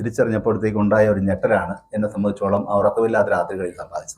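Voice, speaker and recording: A man talks in a somewhat breathy voice. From Kerala, India (Idukki district). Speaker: judge. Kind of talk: conference talk.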